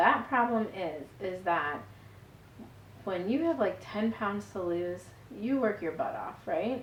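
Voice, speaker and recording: Speaking at a very slow pace with long, frequent pauses, a woman at medium pitch swings very widely in pitch, and the room echo is audible. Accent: American. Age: 40s. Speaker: vlogger, stay-at-home mom. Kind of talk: personal vlog testimony. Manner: casual, conversational.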